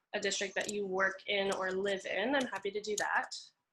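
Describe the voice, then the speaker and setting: A woman is talking. Her voice has a bright, sharp tone. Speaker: housing data presenter. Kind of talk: training webinar demo.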